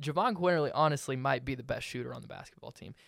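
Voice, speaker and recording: Recorded very cleanly with a silent background, a man speaks with a Southern US accent. His pitch is fairly high, with ordinary variation. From Alabama (Hoover). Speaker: student podcast host. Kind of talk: casual sports talk.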